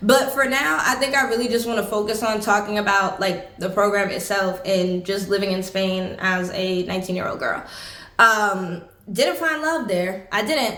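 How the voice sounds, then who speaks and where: A woman speaks at a moderate pace and medium pitch with ordinary pitch variation, amid noticeable background noise and audible room echo. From United States. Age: 20s. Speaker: travel vlogger. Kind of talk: casual chat. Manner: conversational, with many fillers.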